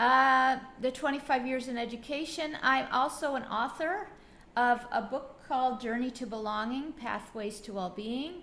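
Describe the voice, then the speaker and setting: A woman with an American accent speaks at a fairly slow pace. Her intonation is lively, and audible room echo surrounds her voice. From US, Buffalo, New York. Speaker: educator coach. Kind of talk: webinar presentation. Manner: halting, many fillers.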